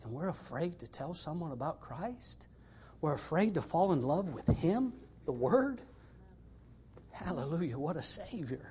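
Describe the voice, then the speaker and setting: A man's fairly high voice at a fairly slow pace, with long, frequent pauses, very wide pitch swings and big swings in loudness. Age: 60s. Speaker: missionary preacher. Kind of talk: sermon. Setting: church.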